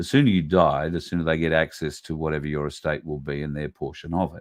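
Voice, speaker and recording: Fairly even in intonation, the man speaks at a very deep, low pitch. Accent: Australian. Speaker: podcast host. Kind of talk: casual monologue commentary. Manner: conversational, with many fillers.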